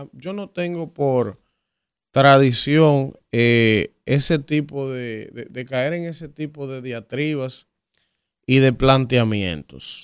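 A man with a Dominican accent speaks at a very slow pace and medium pitch. His pitch varies in an ordinary way while his loudness swings widely. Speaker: radio host. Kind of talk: casual chat. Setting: studio.

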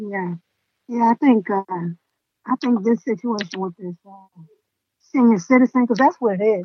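Somewhat breathy and fairly high in pitch with ordinary variation, a woman speaks fairly slowly with long, frequent pauses and big swings in loudness. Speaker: podcast host. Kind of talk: casual interview chat.

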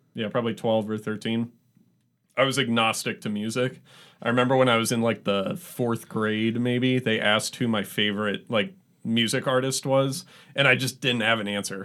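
This is an unremarkable speaking voice with an American accent, ordinary pitch variation and a moderate pace. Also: man, medium pitch for a man. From US Pacific Northwest, Seattle area. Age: 20s. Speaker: musician. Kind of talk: casual chat.

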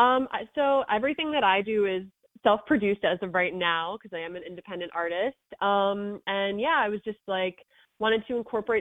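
Medium pitch from a woman with an unremarkable speaking voice, ordinary pitch variation and a moderate pace. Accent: American. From Long Island, New York (Montauk). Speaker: singer-songwriter. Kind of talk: radio interview.

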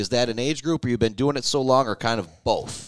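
At a fairly quick pace, a man with an American accent speaks in an unremarkable speaking voice at a medium pitch with ordinary pitch variation. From Michigan. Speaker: radio host. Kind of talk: casual interview.

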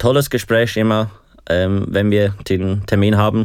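A man with a fairly low pitch at a fairly slow pace, in a very clean recording with a silent background. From Switzerland, Aargau. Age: 20s. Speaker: hospitality student living with HIV. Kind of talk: interview. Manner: hesitant, many fillers.

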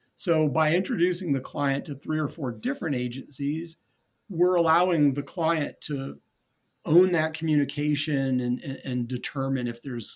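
Using a normal speaking voice, a man talks at a moderate pace and a fairly high pitch with ordinary pitch variation. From North Carolina. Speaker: marketing entrepreneur. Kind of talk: interview.

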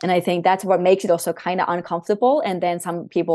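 A woman speaks with a Finnish accent in a fairly low pitch with a dark, mellow tone. Her intonation is fairly even, and the background is quiet. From Finland. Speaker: breathwork coach and former volleyball player. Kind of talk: casual interview.

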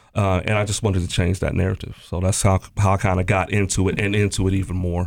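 A man talks very fast with a very deep, low pitch in an American accent. His intonation is monotone and flat. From Columbus, Ohio (East Side). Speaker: Marine Corps veteran, state employee. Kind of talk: casual panel interview.

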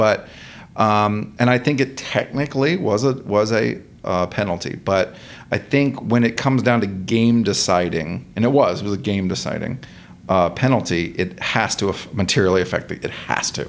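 A man with an unremarkable speaking voice and an American accent, fairly low in pitch, with ordinary pitch variation at a moderate pace. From Georgia, US (from age 11). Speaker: personal injury lawyer. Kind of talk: casual interview chat.

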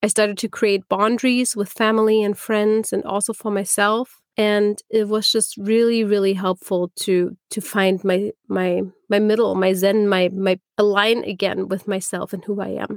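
With a German accent, a woman speaks at medium pitch and a moderate pace, with flat, monotone intonation and hardly any pauses. The sound is dry and close with no echo, in a very clean recording with a silent background. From Germany. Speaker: podcast co-host. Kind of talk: casual chat.

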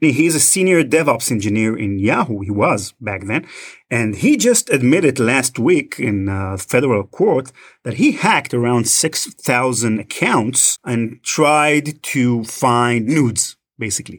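Speaking at a fairly slow pace with lively intonation, a man with an Israeli accent is heard on a very clean recording with a silent background. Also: medium pitch for a man. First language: Hebrew. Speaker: podcast host, guest. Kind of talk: casual chat.

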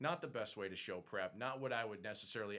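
Very fast and bright, sharp in tone, a man with an American accent speaks at medium pitch with ordinary pitch variation. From Boston area, then New Jersey. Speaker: business owner, former radio broadcaster. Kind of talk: casual interview.

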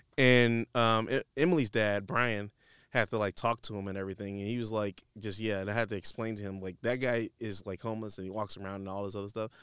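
Very fast and at a fairly low pitch, a man with an American accent speaks with fairly even intonation. The recording is very clean with a silent background and a dry, close sound with no echo. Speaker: podcast host, designer. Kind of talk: casual chat, interview-style conversation. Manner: casual, conversational.

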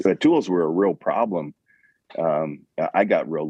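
With a Montana accent, a man speaks at a moderate pace. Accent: Montana, western US. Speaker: Western store owner and saddle maker. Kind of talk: casual interview.

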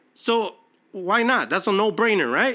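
Raised and projected, the voice has a bright, sharp tone and an animated delivery at a moderate pace, on a very clean recording with a silent background. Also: man. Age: 30s. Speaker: podcast host. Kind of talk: motivational monologue.

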